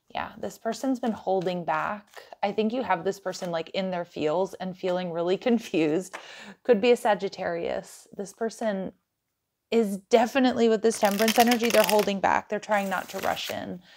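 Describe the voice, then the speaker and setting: A woman talks with ordinary pitch variation, neither fast nor slow. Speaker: tarot reader. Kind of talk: tarot reading commentary. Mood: warm, excited, laughing.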